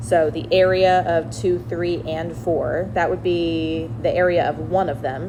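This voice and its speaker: A woman's very slow speech comes through noticeable background noise and audible echo from the room. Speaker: math teacher. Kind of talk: tutorial. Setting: recorded video lesson. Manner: casual.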